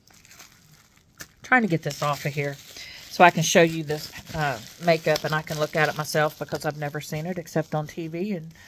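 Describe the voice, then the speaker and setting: With an American accent, a woman speaks in a fairly low pitch and fairly even intonation over light background noise. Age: 60s. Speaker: YouTuber. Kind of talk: casual vlog chat. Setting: at home. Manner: chatty, with many fillers. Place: home room. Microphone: phone near.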